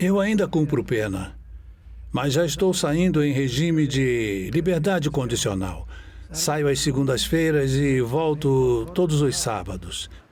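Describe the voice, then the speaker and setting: A man with a fairly high pitch talks at a fairly slow pace with lively intonation and very even loudness. Audible room echo surrounds his voice. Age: 60s. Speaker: inmate on parole, woodworker. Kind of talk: testimony. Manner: hesitant, with fillers.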